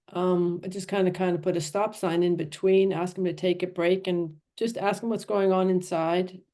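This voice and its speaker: A woman with an American accent, a dark, mellow tone, medium pitch, monotone, flat intonation and hardly any pauses. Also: moderate pace. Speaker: riding and personal development coach. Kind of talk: panel discussion. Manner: halting.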